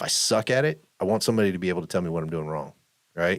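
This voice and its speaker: A man's voice at a fairly quick pace, with ordinary pitch variation. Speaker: podcast co-host. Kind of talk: casual chat. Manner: loud.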